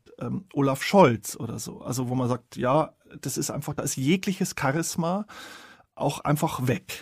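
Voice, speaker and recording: The speaker sounds somewhat breathy, talking at a moderate pace with ordinary pitch variation. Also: man. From Bavarian Forest, Bavaria. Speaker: author and journalist. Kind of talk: interview conversation.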